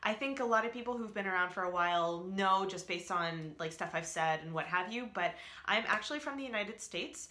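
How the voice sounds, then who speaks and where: Lively intonation at a very fast pace. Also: woman, medium pitch for a woman. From US East Coast, Alabama and Northern Virginia. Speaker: vlogger. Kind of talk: casual vlog chat. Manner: rambling with many fillers.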